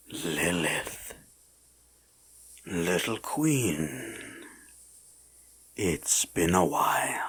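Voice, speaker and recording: A woman's put-on character voice, very deep and low in pitch, at a very slow pace with long, frequent pauses. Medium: audio drama. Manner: smug, teasing, regal.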